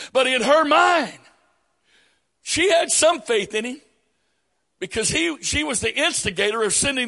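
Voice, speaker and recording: At a moderate pace, a man talks in a raised, projected voice with an extremely high pitch. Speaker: preacher. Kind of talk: sermon. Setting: church.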